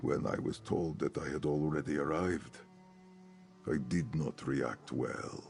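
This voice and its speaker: A man puts on a character voice with a solemn tone, speaking at a fairly slow pace over clear background noise. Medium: video game. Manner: formal, archaic, solemn.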